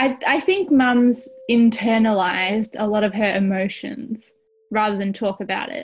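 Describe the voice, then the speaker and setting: A woman with an Australian accent speaks fairly slowly in a fairly high pitch with ordinary pitch variation. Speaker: audio storyteller. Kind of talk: scripted narration.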